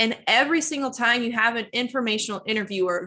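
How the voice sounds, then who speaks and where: Bright, sharp in tone and lively in intonation, the voice moves at a fairly quick pace over a quiet background. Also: woman. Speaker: career coach. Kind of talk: webinar presentation with Q&A. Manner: fast; animated.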